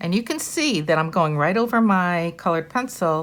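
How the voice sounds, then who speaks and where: Her voice fairly low in pitch, a woman speaks at a moderate pace with lively intonation in a very clean recording over a silent background. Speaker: art teacher. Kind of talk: tutorial.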